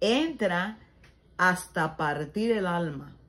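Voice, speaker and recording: A somewhat breathy voice at a very slow pace, with very wide pitch swings. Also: woman. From Cuba, Ciego de Ávila. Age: 70s. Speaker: storyteller telling her life story. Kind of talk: bible reflection and life testimony.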